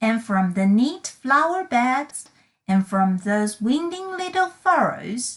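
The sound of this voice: Someone reads in an unforced voice while the background remains quiet.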